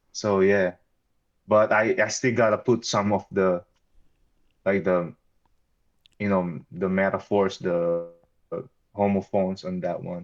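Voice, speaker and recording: A man with a Filipino accent speaks fairly slowly in a fairly low voice with fairly even intonation. His pauses are long and frequent. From Philippines. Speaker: battle rapper. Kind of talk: interview. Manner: halting, with many fillers and restarts.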